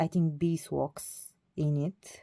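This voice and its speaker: Her tone is dark and mellow. The woman keeps her intonation fairly even. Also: dry, close sound with no echo. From Bulgaria. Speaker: doll collector vlogger. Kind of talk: casual vlog. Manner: halting, many fillers.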